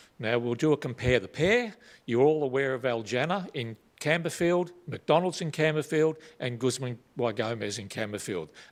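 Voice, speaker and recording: An Australian-accented man at medium pitch talks at a moderate pace with lively intonation. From Australia, Melbourne (North Coburg). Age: 60s. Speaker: retired police officer, local resident. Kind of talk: public submission at council meeting.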